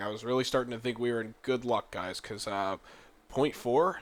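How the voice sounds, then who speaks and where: A man talks at a fairly quick pace in a medium pitch, on a very clean recording with a silent background. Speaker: gaming youtuber. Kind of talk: let's play commentary. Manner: low-energy, unmotivated.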